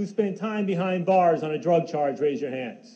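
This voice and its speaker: A man with an American accent at a fairly quick pace, with audible room echo and noticeable background noise. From New York. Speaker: public speaker. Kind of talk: speech to an audience. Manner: fast; animated.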